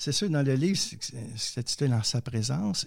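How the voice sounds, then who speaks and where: A somewhat breathy man speaks in a Quebec accent with lively intonation and a fairly slow pace. The recording is very clean, with a silent background. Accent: Québécois. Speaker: theologian and poet. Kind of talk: interview testimony.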